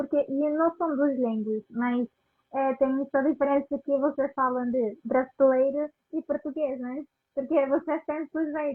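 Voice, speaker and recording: Someone speaks very slowly in a Spanish accent with fairly even intonation. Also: woman. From Venezuela. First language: Spanish (speaking Portuguese). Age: 20s. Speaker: immigrant interviewee. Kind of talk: casual interview. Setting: live video call. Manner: halting.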